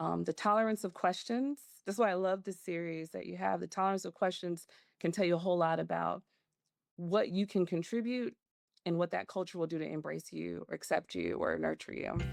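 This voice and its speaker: Against a quiet background, someone with a Southern US accent talks at a fairly quick pace. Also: woman. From Macon, Georgia. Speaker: organizational development consultant. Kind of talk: interview answer.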